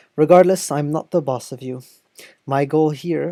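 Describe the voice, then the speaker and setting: The voice has a dark, mellow tone and a French accent. It moves at a moderate pace, with a dry, close sound and no echo. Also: woman. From France. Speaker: video essayist on political theory. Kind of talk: video essay narration. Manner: formal.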